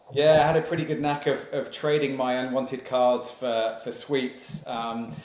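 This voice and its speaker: A man with a British accent at medium pitch, moderate pace and fairly even intonation, with noticeable background noise and audible room echo. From Malaysia and Singapore, then UK from age eight. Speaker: sales leadership consultant and company founder. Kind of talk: podcast interview.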